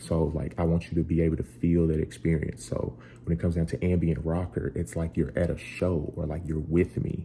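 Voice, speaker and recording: Using a very deep, low pitch with vocal fry and a dark, mellow tone, a man speaks at a moderate pace with ordinary pitch variation. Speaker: musician and tutorial creator. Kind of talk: tutorial. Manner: casual.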